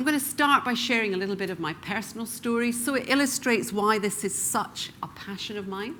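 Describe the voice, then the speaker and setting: Speaking at a moderate pace, a woman with a slight Scottish accent has a bright, sharp tone. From Scotland, Glasgow. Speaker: professional speaker. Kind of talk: keynote talk.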